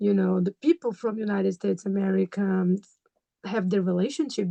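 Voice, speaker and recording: In a dry, close recording with no echo, a woman speaks at a medium pitch with a dark, mellow tone and fairly even intonation. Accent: Brazilian. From Brazil. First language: Portuguese. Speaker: graduate student and mother. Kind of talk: interview. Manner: halting, many fillers.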